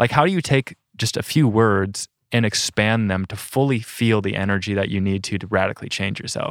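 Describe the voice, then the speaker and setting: With an American accent, a man talks at a fairly quick pace with hardly any pauses and ordinary pitch variation, in a very clean recording with a silent background. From South Dakota, US Midwest. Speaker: van dweller and rock climber. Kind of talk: casual interview conversation.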